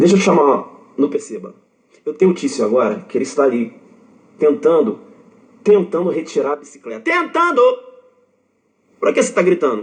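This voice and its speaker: A man shouting at a high pitch, animated, with very wide pitch swings and long, frequent pauses. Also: fairly quick pace. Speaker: law exam prep teacher. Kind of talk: lecture. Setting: online live stream. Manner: shouts for emphasis.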